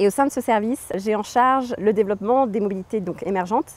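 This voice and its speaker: A woman speaks at a medium pitch with ordinary pitch variation, recorded dry and close with no echo. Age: 30s. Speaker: environmental agency engineer. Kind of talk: interview. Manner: hesitant, many fillers.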